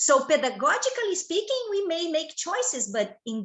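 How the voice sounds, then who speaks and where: A woman in a Portuguese accent talks fairly slowly at an extremely high pitch, her pitch swinging very widely. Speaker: professor. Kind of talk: lecture. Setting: video call. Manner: halting.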